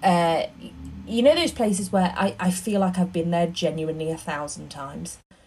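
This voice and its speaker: A woman's fairly low-pitched voice with music in the background. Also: ordinary pitch variation, moderate pace. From northern England, Northumberland coast. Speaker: theatre producer. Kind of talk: casual chat. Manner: animated.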